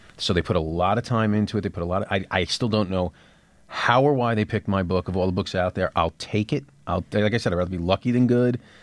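A man with a New York accent speaks very fast in a fairly low voice, his pitch moving an ordinary amount. His loudness stays very even against a quiet background. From New York City. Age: 30s. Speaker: TV writer and author. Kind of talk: interview. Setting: studio.

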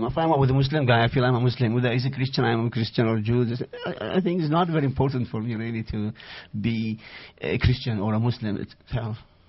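A man with an Iraqi accent and ordinary pitch variation. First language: Arabic. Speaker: author. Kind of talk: interview. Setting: studio. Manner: halting, searching for words.

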